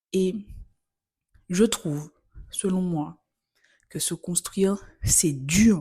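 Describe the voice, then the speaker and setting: Somewhat breathy and dark, mellow in tone, a woman speaks very slowly at medium pitch with ordinary pitch variation and long, frequent pauses. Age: 20s. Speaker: podcast host. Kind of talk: solo podcast monologue. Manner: casual, conversational.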